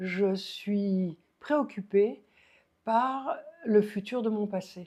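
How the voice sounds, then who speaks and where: Very slowly, a woman speaks at a medium pitch with ordinary pitch variation. Her tone is dark and mellow. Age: 80s+. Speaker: puppeteer and stage director. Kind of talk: interview. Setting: recorded in Montélimar. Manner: halting.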